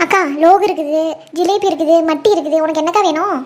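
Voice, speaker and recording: This cartoonish character voice sits at an extremely high pitch and moves at a moderate pace. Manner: humble, respectful, says "akka" often.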